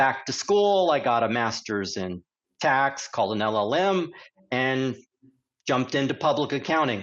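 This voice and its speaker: A man with an American accent talks at a moderate pace in a normal speaking voice, his pitch fairly high. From United States. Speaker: corporate tax executive. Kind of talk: podcast interview.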